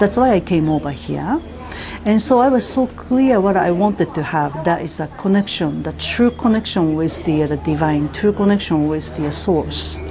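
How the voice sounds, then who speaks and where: A woman speaks with fairly low pitch and lively intonation. Noticeable background noise runs underneath. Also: moderate pace. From Japan. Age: 50s. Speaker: spiritual teacher and healer. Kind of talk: testimony.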